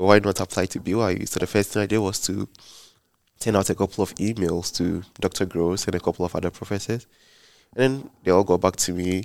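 A man with a Ghanaian accent talks at a fairly quick pace in a very deep, low voice. His intonation is fairly even, and the sound is dry and close with no echo. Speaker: PhD student. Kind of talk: podcast interview.

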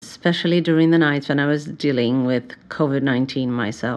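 Moderately paced speech from a woman with a very deep, low voice and ordinary pitch variation. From Brazil, São Paulo. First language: Portuguese. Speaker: psychotherapist and podcast host. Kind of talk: solo podcast introduction.

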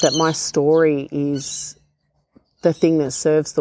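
A woman with a dark, mellow tone speaks in a monotone with flat intonation. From Australia, First Nations (Barkindji). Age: 40s. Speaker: podcast host, speaker. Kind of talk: personal reflective monologue. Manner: heartfelt, unscripted.

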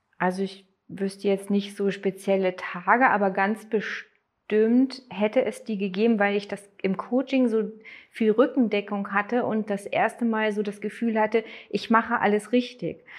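A woman speaks at a fairly slow pace with a fairly high pitch and fairly even intonation. Hers is an unremarkable speaking voice. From Germany, Neustadt. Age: 40s. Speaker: former coaching client. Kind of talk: interview testimony.

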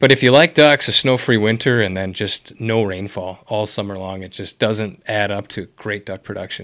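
On a very clean recording with a silent background, a man with an American accent and an unremarkable speaking voice talks at a moderate pace in a fairly low pitch, with ordinary pitch variation and big swings in loudness. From Wisconsin. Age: 40s. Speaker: podcast host. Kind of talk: casual interview. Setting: office.

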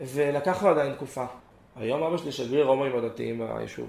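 A man speaks at a medium pitch and a moderate pace, with fairly even intonation, audible room echo and noticeable background noise. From southern Israel, Gan Yavne, Moroccan family. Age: 20s. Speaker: former yeshiva student sharing personal story. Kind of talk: personal testimony.

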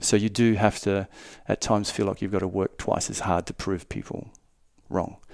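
A man in an Australian accent, fairly low-pitched, at a moderate pace, with monotone, flat intonation and long, frequent pauses. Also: very clean recording, silent background. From Darwin, Northern Territory, Australia. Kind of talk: casual interview.

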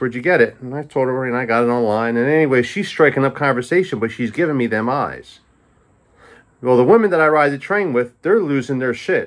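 A man with a medium-pitched voice speaks at a fairly quick pace. His tone is animated and his intonation lively. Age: 50s. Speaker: podcast host. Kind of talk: casual monologue.

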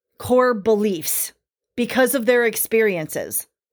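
In a normal speaking voice, a woman with a fairly high pitch and ordinary pitch variation speaks at a fairly slow pace on a very clean recording with a silent background. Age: 50s. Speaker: podcast host, witchcraft teacher. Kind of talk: solo podcast monologue. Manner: casual, conversational with frequent laughs.

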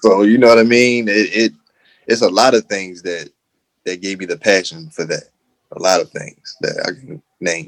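A man's medium-pitched voice, moderately paced, with ordinary pitch variation and big swings in loudness. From Baltimore, Maryland, US. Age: 20s. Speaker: radio DJ. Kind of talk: casual interview. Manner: halting, many fillers.

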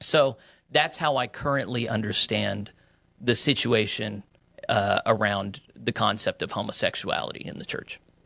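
This man's medium-pitched voice has a bright, sharp tone with vocal fry and ordinary pitch variation. The recording is very clean, with a silent background. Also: moderate pace. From West Texas and Oklahoma. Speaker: pastor. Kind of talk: interview.

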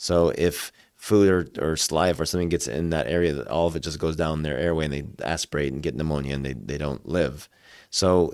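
On a very clean recording with a silent background, a man with a very deep, low pitch and vocal fry speaks at a very fast pace. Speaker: doctor. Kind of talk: casual interview. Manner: halting, hesitant.

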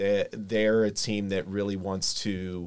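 A man with an American accent speaks at a fairly low pitch and a fairly slow pace, in monotone, flat intonation. The recording is very clean, with a silent background. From Kokomo, Indiana. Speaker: sports fan panelist. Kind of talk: casual chat.

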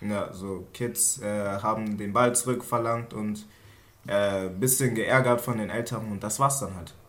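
Audible room echo surrounds a man's voice. He speaks at a very slow pace with fairly even intonation. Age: 20s. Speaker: trainee industrial clerk. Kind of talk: casual chat.

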